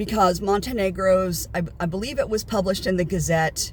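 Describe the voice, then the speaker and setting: Using an American accent, a woman at medium pitch speaks at a moderate pace with fairly even intonation. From United States. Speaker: vlogger. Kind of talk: casual vlog monologue. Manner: hesitant, many fillers.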